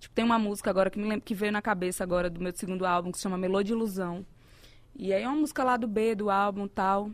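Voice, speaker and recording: In a northeastern Brazilian accent, a woman speaks at a medium pitch and a very fast pace. The recording is very clean, with a silent background. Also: fairly even intonation. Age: 40s. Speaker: singer. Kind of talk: casual chat. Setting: studio.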